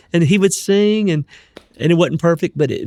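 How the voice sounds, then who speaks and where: The man's voice shows ordinary pitch variation, and the sound is dry and close with no echo. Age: 60s. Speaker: gospel singer. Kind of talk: interview conversation.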